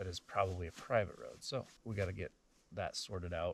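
A man talks at a fairly quick pace with ordinary pitch variation, his voice somewhat breathy. There is light background noise, and the sound is dry with no echo. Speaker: couple vlogger. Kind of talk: casual vlog chat. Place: forest.

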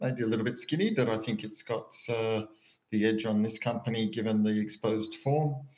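A man with an Australian accent, medium pitch and a moderate pace. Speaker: horse racing tipster. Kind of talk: casual chat.

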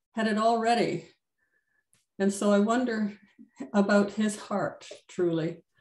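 A woman at a fairly slow pace, with audible room echo. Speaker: Bible study participant. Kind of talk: reading aloud. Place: home room. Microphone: video call.

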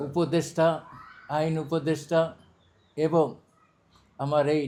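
Here a man talks with a fairly high pitch and a dark, mellow tone. His intonation is monotone and flat. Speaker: parliamentary candidate. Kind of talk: campaign speech.

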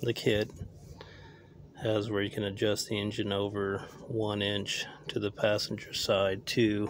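In a dry sound with no echo, a man speaks fairly slowly at a fairly low pitch with monotone, flat intonation. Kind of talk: casual vlog chat. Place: open country. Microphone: phone near.

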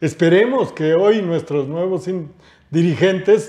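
A man's high pitch at a fairly slow pace. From Mexico. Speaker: retired worker and union leader; interview guest. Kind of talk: panel discussion; reading aloud. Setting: studio. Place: studio. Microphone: lapel.

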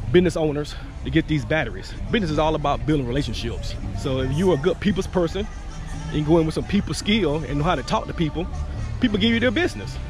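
A man talks at a very fast pace, the sound dry with no echo, with clear music playing in the background. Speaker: business owner vlogger. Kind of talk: casual vlog chat. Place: garden. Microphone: phone near.

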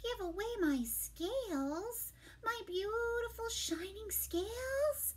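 Slowly and with lively intonation, a woman does a put-on character voice at an extremely high pitch.

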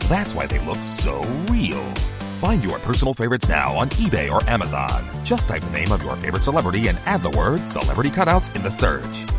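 Fairly quick speech over background music. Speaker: voice actor. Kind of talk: radio commercial read.

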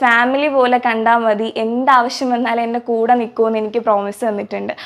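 This woman's voice sits fairly high in pitch and stays monotone and flat throughout. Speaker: college student. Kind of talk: interview testimony.

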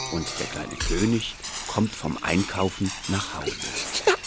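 Over noticeable background noise, a man with fairly low pitch talks at a very slow pace. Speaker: narrator of a children's animated bedtime story. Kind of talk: children's bedtime story narration.

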